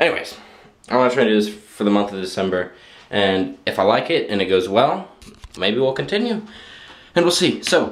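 A man's fairly low-pitched voice at a fairly quick pace. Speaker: vlogger. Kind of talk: casual vlog chat. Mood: relaxed, end of day. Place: bathroom. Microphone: phone near.

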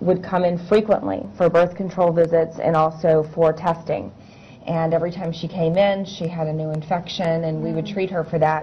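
At a moderate pace, a woman talks in a fairly low pitch with fairly even intonation over light background noise. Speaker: interview guest. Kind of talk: interview answer. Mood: somber, regretful recollection. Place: studio.

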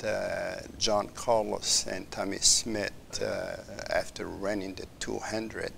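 Male speech with light noise behind it. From Morocco. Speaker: professor and former Olympic athlete. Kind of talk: interview conversation. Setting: studio. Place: studio. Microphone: lapel.

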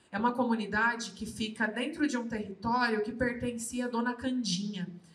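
Audible room echo surrounds a woman's voice. Her pitch is fairly high, and her intonation stays fairly even. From Brazil, Guarulhos (São Paulo); São Paulo, Brazil. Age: 20s. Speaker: politician and activist; politician. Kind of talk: panel talk at book launch. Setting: live event with audience. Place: hall. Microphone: handheld.

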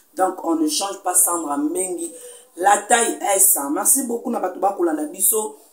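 Music plays in the background. The speech moves at a moderate pace, with an audible room echo. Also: woman. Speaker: show host. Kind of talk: commentary. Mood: sad, condolence news. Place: home room. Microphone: lapel.

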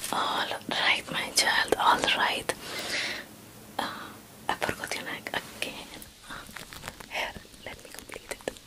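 A soft-spoken woman at a fairly slow pace, with long, frequent pauses over loud background noise. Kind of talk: ASMR role-play talk to viewer. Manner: soft close-mic ASMR voice through a veil. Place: home room. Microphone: handheld.

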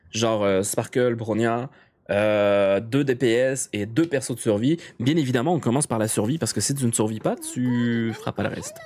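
The voice has an animated tone, a moderate pace, and ordinary pitch variation. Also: man. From Quebec. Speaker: video game streamer. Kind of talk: casual live stream chat. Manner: animated, hesitant with many fillers. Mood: relaxed, playful.

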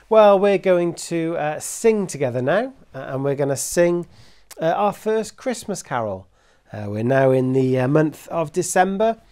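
A man with a high pitch and a dark, mellow tone speaks at a fairly slow pace, his voice making very wide pitch swings against a quiet background. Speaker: Sunday school teacher. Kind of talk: children's Sunday school talk. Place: home room.

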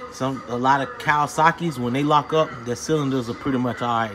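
Noticeable background noise is present throughout. The speaking moves along fairly quickly. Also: man. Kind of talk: casual explanatory commentary. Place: garage. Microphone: phone near.

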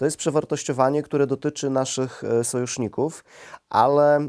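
Over a quiet background, the speaker talks at a moderate pace with monotone, flat intonation. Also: man. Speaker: interviewer. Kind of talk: interview questions. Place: studio. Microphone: lapel.

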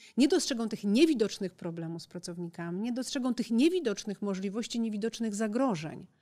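A woman speaks at a fairly quick pace with lively intonation and big swings in loudness. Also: quiet background. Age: 40s. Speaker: foundation president and businesswoman; podcast guest. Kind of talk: interview. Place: studio. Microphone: studio mic.

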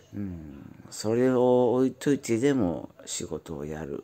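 His pitch swings very widely as the man talks. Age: 40s. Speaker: YouTuber, factory worker. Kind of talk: casual monologue vlog. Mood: weary, cynical. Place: home room. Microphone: phone near.

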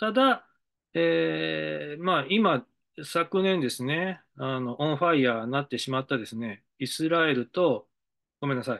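Against a quiet background, a man with a fairly high voice speaks at a fairly slow pace, his pitch swinging very widely. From Japan, Hiroshima (Mihara); Hiroshima, Japan. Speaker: decision-making consultant. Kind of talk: monologue lecture; lecture-style monologue. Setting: studio. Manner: halting, many fillers. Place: office. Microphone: webcam.

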